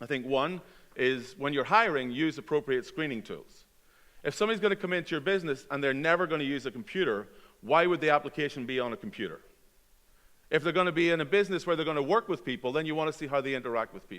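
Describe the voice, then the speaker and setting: Lively intonation carries a very fast pace in a very clean recording with a silent background. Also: man, fairly high pitch for a man. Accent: American. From Belfast, Northern Ireland. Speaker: nonprofit program director. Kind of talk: conference talk.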